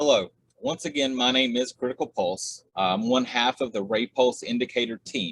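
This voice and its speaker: In a dry, close sound with no echo, a man with a strong Southern US accent talks at medium pitch and a moderate pace with ordinary pitch variation. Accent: heavy Southern US. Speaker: trading indicator developer. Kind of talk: tutorial. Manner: filler-heavy, many uhs.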